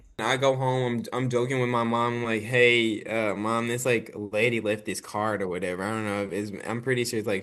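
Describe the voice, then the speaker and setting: A man with a slight country accent sounds animated, speaking at medium pitch and a moderate pace. His pitch varies in an ordinary way, and the background is quiet. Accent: slight country twang. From Arkansas and Dallas, Texas. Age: 20s. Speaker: actor and filmmaker. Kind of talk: casual interview chat. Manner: animated, many fillers.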